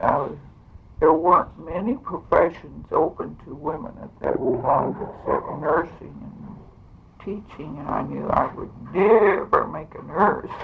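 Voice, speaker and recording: Speaking with an American accent at a fairly slow pace, a woman shows big swings in loudness amid noticeable background noise. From Kansas (Reading). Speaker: former state legislator. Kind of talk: oral history interview.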